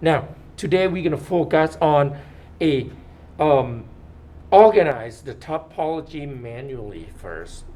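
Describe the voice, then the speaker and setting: In a dark, mellow tone with a non-native accent, a man speaks at a fairly slow pace with lively intonation, long and frequent pauses, big swings in loudness, and audible room echo. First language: not English. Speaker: 3D modeling instructor. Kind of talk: lecture. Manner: halting.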